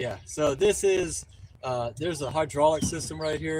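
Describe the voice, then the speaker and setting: Speaking in a Southern accent, a man uses lively intonation. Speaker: litter cleanup streamer. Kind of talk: live stream narration. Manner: casual, filler-heavy.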